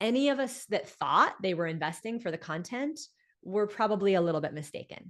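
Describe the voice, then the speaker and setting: A woman with an unremarkable speaking voice, lively intonation and a moderate pace. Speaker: business coach and speaker. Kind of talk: live online coaching talk.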